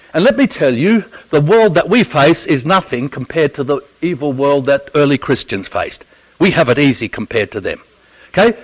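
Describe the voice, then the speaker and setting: In an Australian accent, a man with a fairly high voice talks at a fairly quick pace with lively intonation, the sound dry and close with no echo. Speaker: theology professor and Bible teacher. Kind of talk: Bible teaching talk. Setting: church audience. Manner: humorous, conversational.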